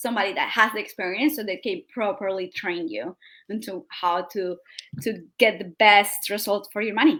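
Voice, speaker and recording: A woman talks with a South American accent. Her voice is fairly high, with a bright, sharp tone. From Colombia. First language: Spanish. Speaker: digital marketing strategist. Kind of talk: interview.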